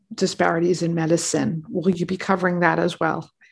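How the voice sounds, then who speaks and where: A woman speaks with a fairly low pitch and vocal fry. Her intonation stays fairly even. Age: 50s. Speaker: physician and podcast host. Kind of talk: interview.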